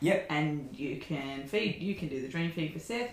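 Audible room echo carries a woman's lively intonation in an Australian accent. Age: 30s. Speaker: podcast guest, host's wife. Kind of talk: casual chat.

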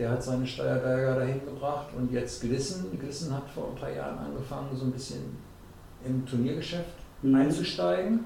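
Amid noticeable background noise and audible room echo, a man speaks at a moderate pace with a medium pitch. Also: ordinary pitch variation. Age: 60s. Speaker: darts association president. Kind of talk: casual interview.

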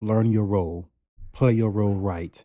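A dark, mellow tone at a fairly slow pace on a very clean recording with a silent background. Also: man. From US South, Savannah, Georgia. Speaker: podcast co-host, makeup artist. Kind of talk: casual chat.

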